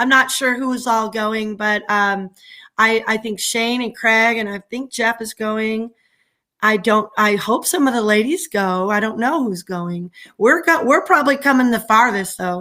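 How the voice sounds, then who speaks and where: On a very clean recording with a silent background, a woman with an American accent speaks loud and at a fairly slow pace, her bright, sharp tone fairly high in pitch with ordinary pitch variation. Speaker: livestreamer. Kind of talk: casual chat. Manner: animated.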